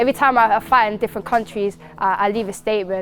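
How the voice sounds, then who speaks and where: Music plays in the background as a woman of medium pitch talks very fast in a London accent. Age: 20s. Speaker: MMA fighter. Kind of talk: interview.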